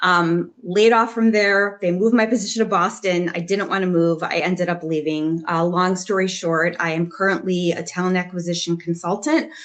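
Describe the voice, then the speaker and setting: This woman speaks with a Chicago accent at a fairly low pitch. Her pace is moderate and her intonation fairly even. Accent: Chicago American. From US Midwest, Chicago. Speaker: talent acquisition consultant and job search coach. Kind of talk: panel discussion.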